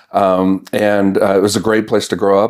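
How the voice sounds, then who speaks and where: Here a man speaks with an American accent in a flat, monotone delivery. The recording is very clean, with a silent background. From US South, North Carolina (Mount Airy). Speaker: county chief information officer. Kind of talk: interview.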